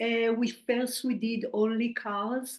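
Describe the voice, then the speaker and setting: Fairly high in pitch, a woman speaks with a slight Israeli accent. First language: Hebrew. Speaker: spiritual medium. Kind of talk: interview.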